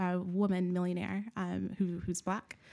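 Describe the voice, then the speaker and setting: A woman with a Southern US accent at a fairly slow pace, on a very clean recording with a silent background. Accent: American Southern. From US South, Nashville, Tennessee. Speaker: academic researcher and church leader. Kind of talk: casual interview chat.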